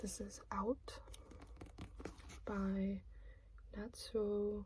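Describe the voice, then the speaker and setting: The voice is soft-spoken, a whisper throughout. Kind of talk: ASMR book haul talk. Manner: soft-spoken, whispered.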